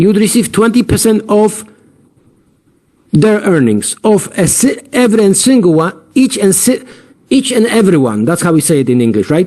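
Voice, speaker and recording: A man with a high pitch and a dark, mellow tone speaks at a moderate pace, his intonation lively and his loudness very even. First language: not English. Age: 50s. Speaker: platform founder. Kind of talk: sales pitch. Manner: halting.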